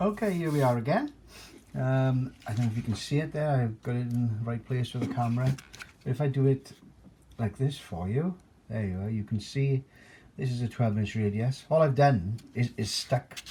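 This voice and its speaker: A man with a dark, mellow tone sounds somewhat breathy, and his pitch varies in an ordinary way. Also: medium pitch for a man, moderate pace. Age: 60s. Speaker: amateur guitar maker, former club singer. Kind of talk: tutorial. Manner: halting, many fillers.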